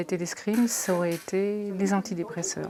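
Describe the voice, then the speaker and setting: At a fairly slow pace, a woman talks in a normal speaking voice at medium pitch. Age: 50s. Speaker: breast cancer patient. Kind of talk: testimony.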